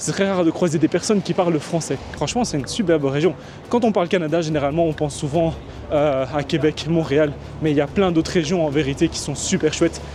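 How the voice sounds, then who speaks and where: A man's fairly high, fairly quick voice in a Belgian accent, over noticeable background noise. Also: ordinary pitch variation. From Belgium. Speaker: vlogger. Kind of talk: casual talk to camera.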